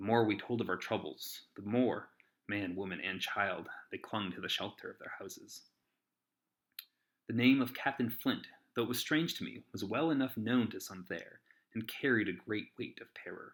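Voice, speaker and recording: Talking in a plain, everyday voice, a man keeps a medium pitch, a moderate pace and ordinary pitch variation on a very clean recording with a silent background. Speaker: amateur audiobook narrator. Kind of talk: audiobook reading.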